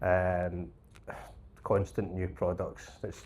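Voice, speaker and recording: Very deep, low, somewhat breathy voice of a man with a Scottish accent. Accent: Scottish, noticeable. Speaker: plant hire business support manager. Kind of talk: panel discussion.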